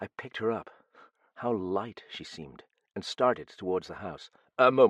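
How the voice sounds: Over quiet surroundings, someone reads in a natural voice whose pitch shifts in a normal way.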